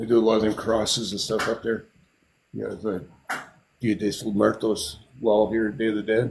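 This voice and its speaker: A man's fairly low, fry-laden voice in a flat monotone, at a moderate pace with long, frequent pauses. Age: 60s. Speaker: artist and builder. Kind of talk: casual chat.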